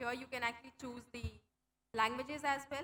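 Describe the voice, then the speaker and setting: A woman with an Indian accent talks at a high pitch and a fairly quick pace. Her tone is bright and sharp, her intonation fairly even. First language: Hindi. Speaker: tech program manager. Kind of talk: conference talk.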